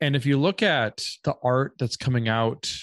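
A man speaks with an American accent and ordinary pitch variation. The sound is dry and close with no echo, over a quiet background. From US Midwest, Minnesota. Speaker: author and meme artist. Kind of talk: casual interview chat. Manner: hesitant, many fillers and repeats.

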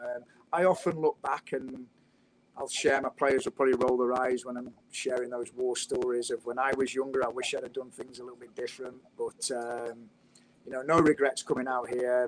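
This man talks at a moderate pace and a medium pitch, with fairly even intonation. His loudness swings a lot. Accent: British. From England. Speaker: college soccer coach. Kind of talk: casual interview chat.

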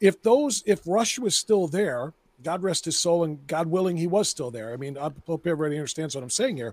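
The pace is fairly quick and the intonation lively. The sound is dry and close, with no echo. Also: man, high pitch for a man. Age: 50s. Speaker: radio host. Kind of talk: casual chat.

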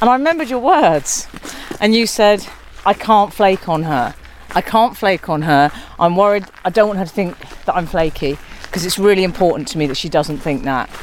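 With noticeable background noise, a woman speaks at a fairly quick pace and a medium pitch, her intonation lively. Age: 40s. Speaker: podcast host. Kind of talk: casual chat. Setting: outdoors.

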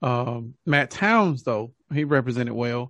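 A man speaks in a normal speaking voice at a medium pitch. His pitch varies ordinarily, and the sound is dry and close with no echo. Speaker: podcast co-host, music reviewer. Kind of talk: casual video review chat. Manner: casual, opinionated.

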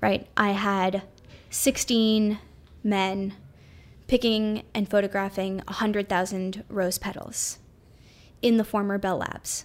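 The speaker has an American accent. The pace is fairly slow. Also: woman. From New York City. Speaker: artist and technologist. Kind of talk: casual interview.

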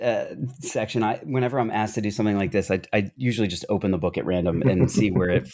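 Ordinary pitch variation marks this passage, read in a natural reading voice.

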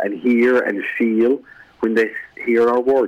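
A man talks with monotone, flat intonation. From Ireland. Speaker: business founder and executive. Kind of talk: radio interview. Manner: slow, deliberate delivery.

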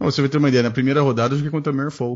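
A man speaks at a very fast pace, sounding somewhat breathy. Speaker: podcast host. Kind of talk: casual chat.

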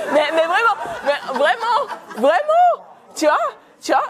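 With a non-native accent, a woman speaks at an extremely high pitch over crowd noise in the background. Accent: rolled R, non-French. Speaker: panel speaker. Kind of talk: live talk with audience. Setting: event venue with audience.

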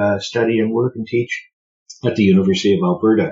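With a Canadian accent, a man speaks at a medium pitch in a somewhat breathy voice with ordinary pitch variation. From Ontario, Canada (Burlington, near Hamilton and Toronto). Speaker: historian. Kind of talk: interview about his book. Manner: halting, with frequent fillers.

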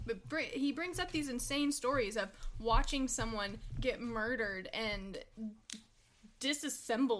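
Here is a woman with a plain, everyday voice and a fairly high pitch. She speaks at a fairly slow pace. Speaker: podcast guest, TV fan.

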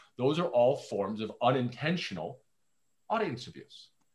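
A man with an unremarkable speaking voice, medium pitch and a moderate pace. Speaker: founder, storytelling consultant. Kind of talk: casual interview chat.

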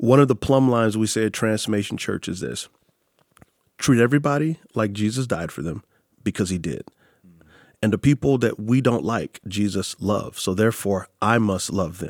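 The man's fairly low voice moves at a moderate pace with ordinary pitch variation and an animated tone. The sound is dry and close, with no echo. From Texas, San Antonio. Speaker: pastor and author. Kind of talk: interview.

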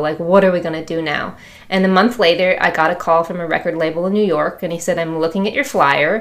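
A woman has a plain, everyday voice with an American accent and fairly even intonation. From US Midwest, Chicago. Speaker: musician, drummer. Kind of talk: casual interview.

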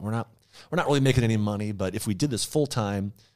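With an American accent, a man uses a normal speaking voice, fairly low in pitch, with lively intonation, recorded very cleanly against a silent background. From Minnesota. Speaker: YouTuber. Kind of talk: casual chat.

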